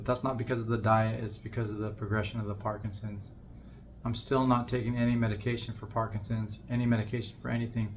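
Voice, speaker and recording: At a very fast pace, a man talks in a somewhat breathy voice at medium pitch with monotone, flat intonation. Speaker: vlogger with Parkinson's disease, musician. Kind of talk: personal vlog monologue. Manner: somewhat monotone, constricted by Parkinson's; halting, repeated words.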